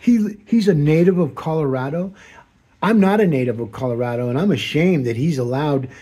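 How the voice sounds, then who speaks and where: Somewhat breathy and dark, mellow in tone, a man speaks at a fairly high pitch and a fairly quick pace with lively intonation. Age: 60s. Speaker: political commentator. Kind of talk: monologue. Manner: rambling, halting.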